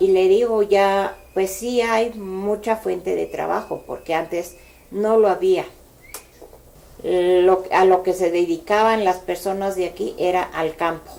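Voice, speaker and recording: Very slow speech with fairly even intonation. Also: woman, medium pitch for a woman. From Mexico City, Cuajimalpa. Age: 60s. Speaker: local elder sharing memories. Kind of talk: oral history interview. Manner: hesitant, with fillers.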